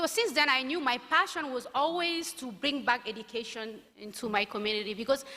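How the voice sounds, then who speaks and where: Speaking with a non-native accent, a woman uses a high pitch and lively intonation at a moderate pace. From northern Mali (Timbuktu). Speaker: founder of a peace-building organization, alumna speaker. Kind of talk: keynote speech. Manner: halting, many fillers and restarts.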